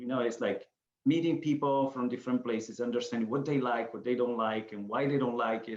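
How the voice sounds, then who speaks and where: At a fairly quick pace, a man with an Italian accent speaks at a medium pitch with fairly even intonation. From Sicily, Italy. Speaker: author and photographer. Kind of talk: interview. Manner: halting.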